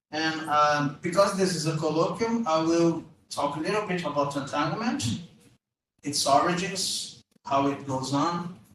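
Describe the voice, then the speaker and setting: A man with a Portuguese accent at a fairly slow pace, fairly high in pitch with ordinary pitch variation, and audible room echo. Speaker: physics professor. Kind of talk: lecture. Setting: lecture room with audience. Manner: hesitant, many fillers.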